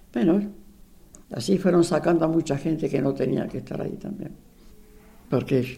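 A woman with a dark, mellow tone at a fairly slow pace. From Argentina, Buenos Aires. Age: 80s+. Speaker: retired secretary, eyewitness. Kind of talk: personal testimony interview.

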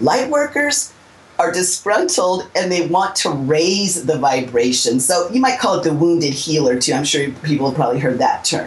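A woman with an American accent speaks at a moderate pace, her pitch fairly low with very wide swings. Her loudness stays very even over noticeable background noise. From Southern California. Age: 50s. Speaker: psychic healer and teacher. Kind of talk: interview.

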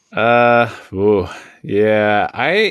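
A man with an American accent speaks at a fairly low pitch over a quiet background. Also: dry, close sound with no echo. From Washington State, Seattle. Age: 40s. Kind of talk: casual chat.

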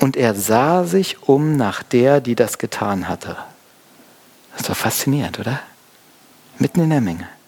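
Over noticeable background noise, a man with a warm tone speaks with lively intonation and long, frequent pauses. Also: medium pitch for a man, moderate pace. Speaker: pastor. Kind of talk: sermon. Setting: church. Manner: casual, conversational; warm, explanatory.

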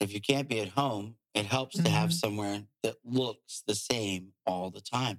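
This is an ordinary speaking voice at a moderate pace with ordinary pitch variation. There are hardly any pauses. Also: man, fairly low pitch for a man. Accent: American. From Virginia, small town (Urbana). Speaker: realtor. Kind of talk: casual interview.

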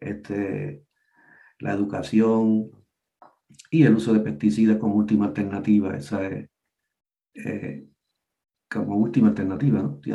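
Lively intonation runs through a dark, mellow tone. The delivery keeps a moderate pace. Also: man. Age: old. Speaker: retired agricultural extension entomologist. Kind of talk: interview. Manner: halting.

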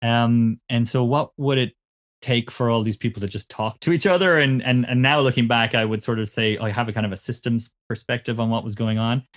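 Speaking with a Cork accent at a fairly quick pace, this voice keeps fairly even intonation in a dry, close sound with no echo and a very clean recording with a silent background. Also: man, medium pitch for a man. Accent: Cork Irish. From Ireland, Cork. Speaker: innovation consultant. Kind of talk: casual chat.

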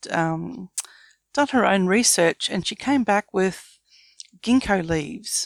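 A fairly slow voice in an Australian accent with ordinary pitch variation and a dry, close sound with no echo. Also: woman. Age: 50s. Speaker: business founder. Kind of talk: interview.

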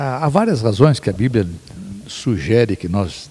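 At a very slow pace, a man speaks with a fairly low, somewhat breathy voice, a dark, mellow tone and lively intonation. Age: 60s. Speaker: pastor and theologian. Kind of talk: theological discussion. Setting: at a home.

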